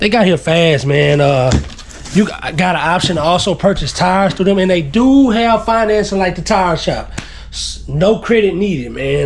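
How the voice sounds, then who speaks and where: A man with a Texas accent and lively intonation, over noticeable background noise. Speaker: YouTuber. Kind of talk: product unboxing video. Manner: casual, laid-back.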